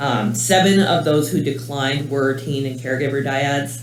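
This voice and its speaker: A man talks fairly slowly at a medium pitch, with ordinary pitch variation. Noticeable background noise and audible room echo fill the recording. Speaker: clinical research coordinator. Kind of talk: conference talk. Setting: conference room with audience. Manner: loud; casual, many fillers.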